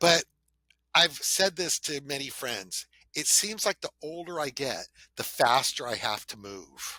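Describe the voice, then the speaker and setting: Vocal fry runs through this man's fairly high voice, which has a bright, sharp tone and an American accent. He talks at a fairly slow pace with lively intonation, and the sound is dry and close with no echo. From Southern California. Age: 60s. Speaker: podcast host, financial planner. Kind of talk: casual chat.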